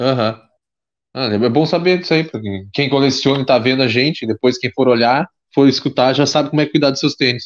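A man with a Rio Grande do Sul accent speaks at a fairly quick pace and medium pitch with ordinary pitch variation, the sound dry and close with no echo over a quiet background. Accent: Rio Grande do Sul Portuguese (gaúcho). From Pelotas, southern Brazil. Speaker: podcast host. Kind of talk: casual chat. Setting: video call.

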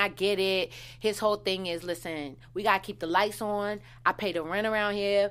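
In an American accent, a woman with a medium-pitched, bright, sharp voice talks at a fairly quick pace with fairly even intonation on a very clean recording with a silent background. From Washington DC. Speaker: TV recap podcast co-host. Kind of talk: casual chat; audience appeal. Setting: studio.

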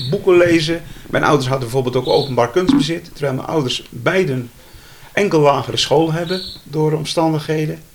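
A man talks at a fairly quick pace with a fairly high pitch and ordinary pitch variation. Noticeable background noise is present. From Zeeland, Zeelandic Flanders (IJzendijke). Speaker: retired journalist and photographer. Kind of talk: interview.

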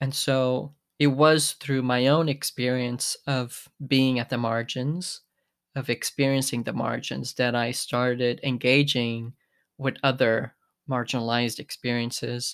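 A man's medium-pitched voice, monotone and flat, fairly slow, in a very clean recording with a silent background. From Portugal. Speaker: podcast host and drama therapist. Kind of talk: podcast monologue. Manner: reflective, with hesitations.

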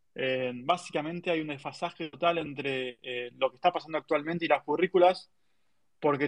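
With an ordinary speaking voice pitched fairly high, the man shows ordinary pitch variation. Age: 30s. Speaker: tech marketing professional. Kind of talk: interview. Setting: online audio room.

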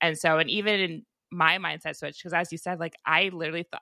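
Heard on a very clean recording with a silent background and a dry, close sound with no echo, a woman talks at a fairly quick pace in a fairly low pitch with a bright, sharp tone and vocal fry. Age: 30s. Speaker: podcast host. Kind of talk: interview. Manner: animated.

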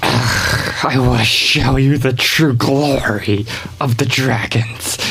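In a put-on character voice, a man at a medium pitch speaks at a very slow pace while faint music plays in the background. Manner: grand, boastful.

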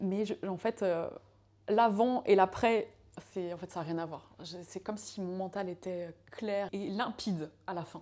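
Her tone dark and mellow, a woman speaks at a very slow pace with fairly even intonation. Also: medium pitch for a woman. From France, Laval. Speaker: yoga teacher and former fashion designer. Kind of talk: casual chat. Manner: halting, many hesitations.

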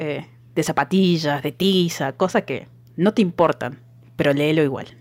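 With a very deep, low pitch and ordinary pitch variation, a woman speaks at a fairly slow pace in a dry, close sound with no echo. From Argentina, outside Buenos Aires. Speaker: podcast co-host. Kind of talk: casual chat.

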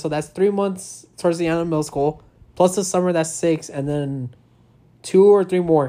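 A normal speaking voice at a moderate pace, with ordinary pitch variation, in a very clean recording with a silent background. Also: man. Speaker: podcast co-host, military service member. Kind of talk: casual chat. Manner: joking, playful.

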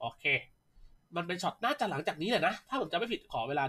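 Lively intonation marks this man's delivery. His tone is bright and sharp. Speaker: esports podcast host. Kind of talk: casual esports chat and analysis.

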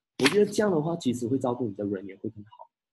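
A man talks at a medium pitch with a somewhat breathy quality. His tone is dark and mellow. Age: 30s. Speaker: insurance agency leader giving talks. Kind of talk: online live talk / seminar. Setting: video call livestream.

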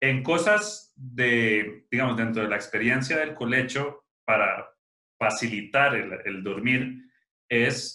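A man speaks with a Costa Rican accent. His pace is very slow, with ordinary pitch variation. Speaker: podcast host, father. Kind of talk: casual chat.

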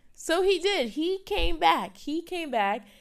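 A woman with a New York accent speaks in an animated tone with lively intonation. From New York City, the Bronx. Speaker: student podcast host. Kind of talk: casual solo podcast talk.

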